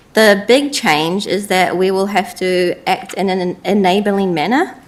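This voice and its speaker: A woman with a New Zealand accent amid noticeable background noise. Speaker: council staff presenter. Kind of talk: briefing presentation.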